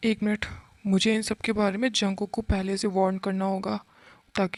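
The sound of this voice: Heard here is an unforced reading voice.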